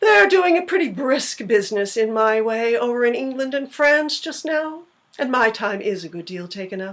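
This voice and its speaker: A woman puts on a character voice, talking at a high pitch and a moderate pace. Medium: read story. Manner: dry, curt.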